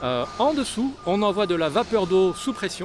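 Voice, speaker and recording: Through noticeable background noise, a man talks at a fairly slow pace. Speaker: sailing vlogger. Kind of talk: vlog tour narration. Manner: halting, many repetitions; loud.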